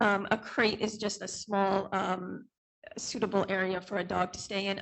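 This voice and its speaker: A woman is talking at a moderate pace. Her pitch sits in the medium range. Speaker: dog trainer and business owner. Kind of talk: testimony at public hearing. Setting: township board meeting. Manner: hesitant, many fillers.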